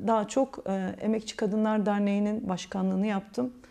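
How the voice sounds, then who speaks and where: Her voice is a woman's medium pitch with a dark, mellow tone. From Sivas, Turkey; Turkey. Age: 40s. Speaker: political candidate; candidate. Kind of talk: interview. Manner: halting. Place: office. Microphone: lapel.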